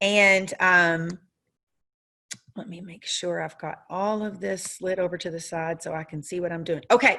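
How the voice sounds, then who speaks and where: A woman with a Southern US accent talks at a fairly slow pace and fairly low pitch, with fairly even intonation. Her tone is bright and sharp, and her loudness swings widely. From US South. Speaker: software trainer. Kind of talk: training webinar. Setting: video call with screen share. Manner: frequent fillers (um, uh). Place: home room. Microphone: webcam.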